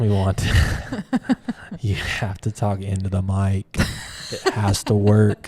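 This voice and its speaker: Very slow and monotone, a man with a fairly low pitch speaks with flat intonation and long, frequent pauses over noticeable background noise. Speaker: art gallery owner and video creator. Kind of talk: casual chat. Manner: loud.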